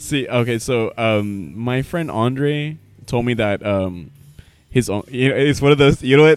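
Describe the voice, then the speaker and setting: A man speaks in an ordinary speaking voice at medium pitch. He goes at a fairly slow pace with ordinary pitch variation. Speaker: podcast host. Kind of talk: casual chat. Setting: bar.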